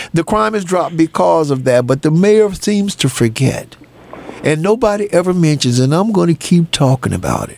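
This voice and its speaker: An animated tone and lively intonation against noticeable background noise. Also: man, fairly high pitch for a man, moderate pace. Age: 70s. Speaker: radio talk show host. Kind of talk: call-in talk radio.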